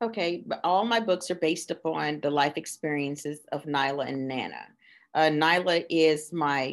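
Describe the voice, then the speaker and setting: A woman's very deep, low voice with vocal fry, ordinary pitch variation and a fairly slow pace, against a quiet background. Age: 50s. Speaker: children's book author. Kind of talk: casual interview chat.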